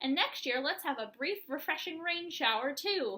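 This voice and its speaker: Putting on a character voice, a woman talks at a moderate pace with a high pitch. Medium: read story. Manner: cheerful, enthusiastic.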